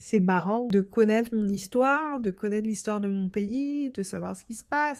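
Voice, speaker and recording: Speaking at a moderate pace, a woman uses a fairly high pitch with ordinary variation. The recording is very clean, with a silent background. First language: Haitian Creole (speaking French). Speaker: podcast host. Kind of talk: podcast monologue. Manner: hesitant, many fillers.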